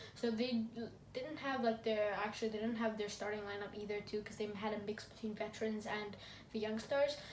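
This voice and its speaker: A woman with a fairly high voice speaks in a flat monotone amid audible room echo and noticeable background noise. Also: fairly quick pace. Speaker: football review YouTuber. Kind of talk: casual vlog commentary. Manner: fast; halting.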